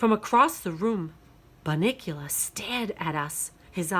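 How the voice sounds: A natural reading voice, nothing more.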